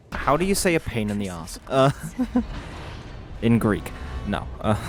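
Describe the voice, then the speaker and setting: Over music in the background, a man talks at a fairly slow pace in a medium pitch, his pitch swinging very widely. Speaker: gaming youtuber. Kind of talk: gameplay commentary. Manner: loud; animated.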